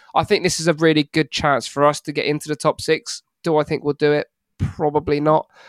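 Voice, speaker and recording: A man speaks in a dry, close sound with no echo. The recording is very clean, with a silent background. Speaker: football fan podcaster. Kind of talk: casual chat.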